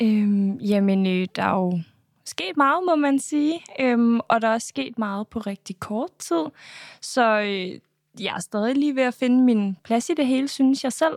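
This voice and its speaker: A woman's fairly high voice, a plain, everyday voice with lively intonation. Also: fairly slow pace, dry, close sound with no echo, very clean recording, silent background. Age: 20s. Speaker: reality TV contestant and influencer. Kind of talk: interview.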